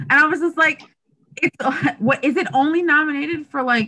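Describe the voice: A woman speaks with a bright, sharp tone. Her pace is fairly slow.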